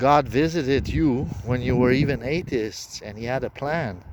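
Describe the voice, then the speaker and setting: With noticeable background noise behind him, a man with a non-native accent talks fairly slowly at a medium pitch. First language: not English. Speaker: self-proclaimed prophet. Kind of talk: religious monologue. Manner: halting.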